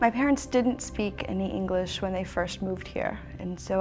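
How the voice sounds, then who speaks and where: A woman with an American accent speaks at a fairly quick pace, with audible room echo and noticeable background noise. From Brazil, raised in US from age six. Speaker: interview guest, immigrant. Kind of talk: interview answers.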